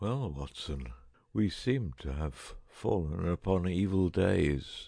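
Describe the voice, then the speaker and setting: In a croaky, put-on character voice, a man speaks at a very deep, low pitch and a fairly slow pace, with very wide pitch swings. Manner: feeble, croaking, imperious.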